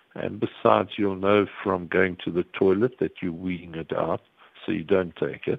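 A man with a fairly low pitch speaks in an unremarkable speaking voice with ordinary pitch variation. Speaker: psychiatrist. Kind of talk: expert interview. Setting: phone call.

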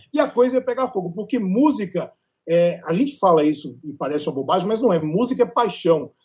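The man's voice is high-pitched. His intonation rises and falls in a lively way. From Northeast Brazil, raised in Natal. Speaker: culture journalist. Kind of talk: casual panel discussion.

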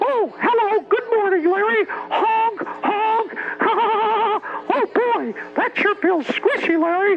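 A put-on character voice at an extremely high pitch and a very slow pace, over clear background noise. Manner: cheerful, playful.

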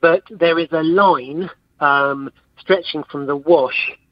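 A man is speaking. He has a southern English accent. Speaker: academic researcher. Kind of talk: interview. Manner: halting.

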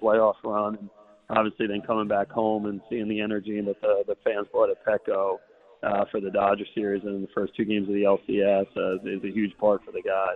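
Speaking at a fairly quick pace, a man with an American accent has a fairly low pitch. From Long Island, New York. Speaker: baseball team executive. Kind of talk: radio interview. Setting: live broadcast at a bar with audience.

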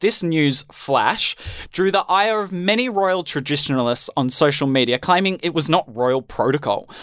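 With an Australian accent and lively intonation, a man talks at a moderate pace in a high pitch on a very clean recording with a silent background. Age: young. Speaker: student radio host. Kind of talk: comedy news show.

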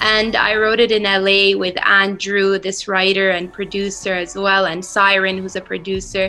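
Against noticeable background noise, a woman speaks at medium pitch and a moderate pace in a monotone, flat way, with hardly any pauses. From Saudi Arabia, moved to California at 13. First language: Arabic. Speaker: singer-songwriter. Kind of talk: interview. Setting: remote interview from Riyadh. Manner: casual, many fillers and repetitions.

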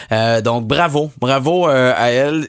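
A man speaks at a medium pitch in a Quebec accent. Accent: Québécois French. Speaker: radio host. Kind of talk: casual chat.

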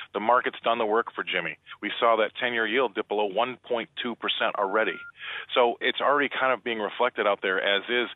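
Speaking at a fairly quick pace, a man with medium pitch and an unremarkable speaking voice keeps his intonation fairly even. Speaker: commodities market analyst. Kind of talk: radio interview. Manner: blunt, colloquial.

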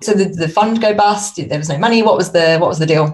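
Over noticeable background noise, a woman speaks very fast at a fairly low pitch with ordinary pitch variation. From United Kingdom. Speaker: consultant and podcaster, former accountant. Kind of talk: casual interview chat.

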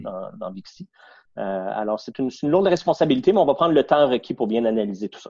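A man with a Quebec accent, dark and mellow in tone, with lively intonation at a fairly quick pace, in a dry, close sound with no echo. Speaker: businessman, board chairman. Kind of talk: interview.

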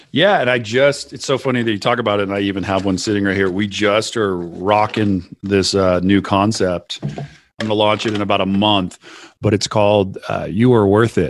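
Over a quiet background, a man with an American accent talks at a moderate pace in an ordinary speaking voice, fairly low in pitch with fairly even intonation. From US West Coast. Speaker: CEO and podcast host. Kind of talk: casual interview chat. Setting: remote recording call.

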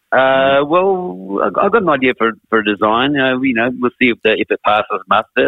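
A man speaks with an Australian accent. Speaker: rock musician. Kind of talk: casual chat.

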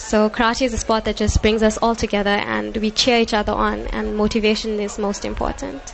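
A woman talks at a fairly quick pace, with hardly any pauses, as noticeable background noise runs underneath. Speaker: karate athlete and coach. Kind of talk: live interview.

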